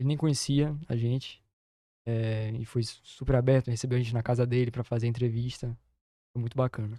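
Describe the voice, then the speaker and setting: A man talks at a fairly quick pace in a dark, mellow tone, his intonation monotone and flat. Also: medium pitch for a man. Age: young. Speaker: documentary filmmaker. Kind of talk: interview.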